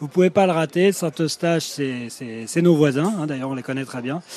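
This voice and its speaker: Speech comes at a moderate pace with ordinary pitch variation over noticeable background noise. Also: man. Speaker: restaurant manager. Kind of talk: interview on location. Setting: on a restaurant terrace.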